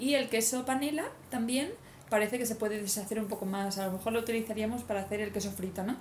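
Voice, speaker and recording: Words come at a very fast pace with fairly even intonation, amid audible room echo and noticeable background noise. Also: woman, fairly high pitch for a woman. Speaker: cycle-touring podcast host. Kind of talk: casual chat.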